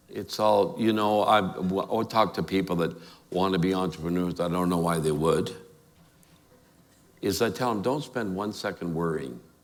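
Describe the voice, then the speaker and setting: With a Canadian accent, a man speaks at a very deep, low pitch and a moderate pace. His pitch varies in an ordinary way, and room echo is audible. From immigrant to Calgary, Canada as child (1952). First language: not English. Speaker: award honoree, entrepreneur. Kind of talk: onstage interview. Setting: stage with audience. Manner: animated.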